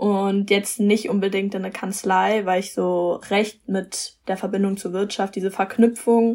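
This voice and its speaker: A woman speaks with a monotone, flat intonation. Her pitch is medium and her pace moderate. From Germany, Frankfurt am Main. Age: young. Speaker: law student. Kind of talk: interview.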